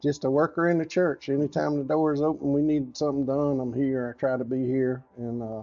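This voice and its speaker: Speaking at a fairly quick pace with a Southern accent, a man uses a fairly high pitch and fairly even intonation. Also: hardly any pauses. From US South. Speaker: church volunteer. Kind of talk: casual chat.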